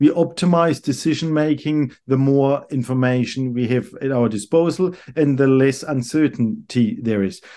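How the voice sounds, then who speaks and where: A man with a German accent speaks at a moderate pace in a fairly high pitch, his tone dark and mellow, with ordinary pitch variation and hardly any pauses. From Germany, Karlsruhe. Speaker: economics professor. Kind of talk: interview. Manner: halting, repeats words.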